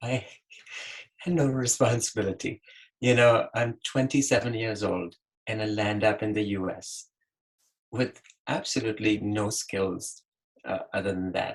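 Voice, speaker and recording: A man speaks fairly slowly in a fairly low, somewhat breathy voice. His pitch varies in an ordinary way, and he leaves long, frequent pauses. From Pakistan. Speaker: physician, webinar panelist. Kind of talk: webinar panel advice talk. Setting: online webinar.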